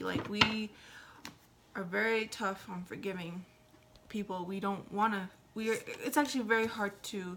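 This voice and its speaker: Against noticeable background noise, a woman speaks at a fairly slow pace and medium pitch with fairly even intonation. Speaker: tarot reader. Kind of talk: tarot reading. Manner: hesitant, many fillers.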